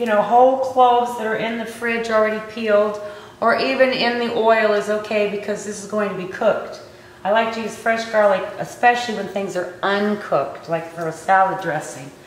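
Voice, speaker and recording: Over light background noise and audible room echo, a woman talks at a moderate pace. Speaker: cooking show host. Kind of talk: tutorial. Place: kitchen.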